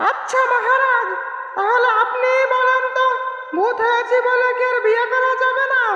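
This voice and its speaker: Clear background noise and clear echo surround the voice. It is a cartoonish character voice. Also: female-sounding voice, extremely high pitch for a woman, moderate pace. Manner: whining, dramatic.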